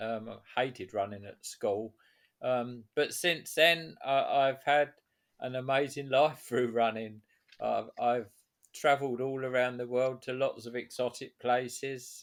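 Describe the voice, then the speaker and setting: A medium-pitched man with an English accent, fairly slow pace and fairly even intonation. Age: 70s. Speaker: author and veteran runner. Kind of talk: interview. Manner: halting.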